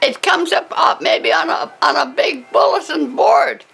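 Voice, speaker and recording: The woman speaks at a fairly slow pace. Music plays in the background. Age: 80s+. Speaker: former bookie. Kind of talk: interview. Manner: halting.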